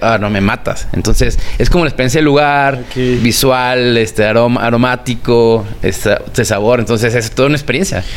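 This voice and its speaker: Against noticeable background noise, a man with a medium-pitched voice speaks at a fairly quick pace, with hardly any pauses and very even loudness. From Mexico, Guadalajara. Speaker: food blogger. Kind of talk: interview.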